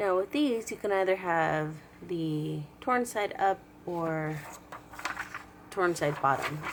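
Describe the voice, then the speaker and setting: A woman's fairly low, lively voice at a very slow pace, with long, frequent pauses and noticeable background noise. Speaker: crafts tutorial host. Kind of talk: craft tutorial instruction.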